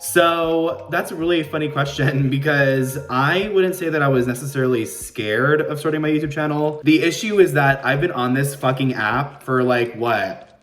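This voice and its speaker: A man with a fairly high pitch speaks at a moderate pace with ordinary pitch variation, with audible room echo and music in the background. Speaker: makeup YouTuber. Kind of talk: casual get-ready-with-me chat. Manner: loud.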